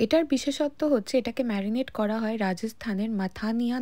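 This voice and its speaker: In a plain, everyday voice, a woman speaks with a fairly high pitch and ordinary pitch variation. The recording is very clean, with a silent background. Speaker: food blogger. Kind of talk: food review voiceover. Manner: chatty, conversational.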